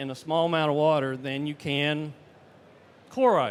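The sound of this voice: A Southern US accent at a moderate pace on a very clean recording with a silent background. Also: man. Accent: Southern American.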